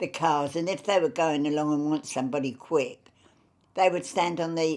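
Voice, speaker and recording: In a London accent, a woman talks at a moderate pace in a fairly low voice. Her pitch varies in an ordinary way, and the recording is very clean with a silent background. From Fulham, London. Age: 80s+. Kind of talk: interview answer.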